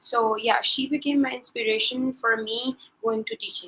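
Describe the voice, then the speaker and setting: Her pitch high, a woman talks at a fairly quick pace with fairly even intonation. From Pakistan, Lahore. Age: 20s. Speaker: teacher and assistant facilitator. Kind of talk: interview. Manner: hesitant with fillers.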